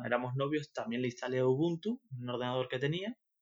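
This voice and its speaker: A man with a Canarian accent speaks at medium pitch. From Canary Islands (Tenerife). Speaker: freelance web developer. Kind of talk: interview. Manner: halting, many fillers and repetitions.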